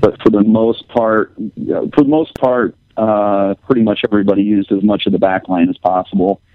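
A man with an ordinary speaking voice talks at a moderate pace, fairly low in pitch, with ordinary pitch variation. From Indiana. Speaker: musician. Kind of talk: casual chat.

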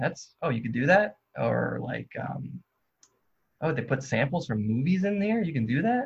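A man with an American accent and a somewhat breathy voice, at a fairly slow pace with ordinary pitch variation. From New Jersey. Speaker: musician. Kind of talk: casual chat. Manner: halting.

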